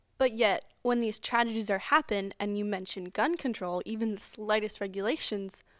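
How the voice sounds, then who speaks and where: In a very clean recording with a silent background, a woman with an ordinary speaking voice talks at a moderate pace, her fairly high pitch showing ordinary variation. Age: 20s. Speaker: student podcast co-host. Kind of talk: casual political discussion.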